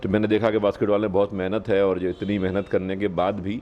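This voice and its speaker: Monotone and flat, a man speaks at a moderate pace in a fairly low voice. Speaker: police officer. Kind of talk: interview. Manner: hesitant fillers.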